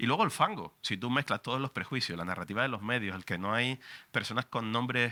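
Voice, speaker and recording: Speaking at a fairly quick pace in a Canarian accent, a man with a medium pitch uses lively intonation and an animated, bright, sharp tone, in a very clean recording with a silent background and a dry, close sound with no echo. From Canary Islands. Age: 40s. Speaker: radio journalist. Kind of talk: book presentation talk. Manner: fast.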